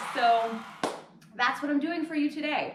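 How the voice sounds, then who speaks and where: A woman's high-pitched voice with audible room echo and noticeable background noise. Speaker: yoga instructor. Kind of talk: fitness class instruction. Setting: home living room. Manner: casual, chatty with filler words.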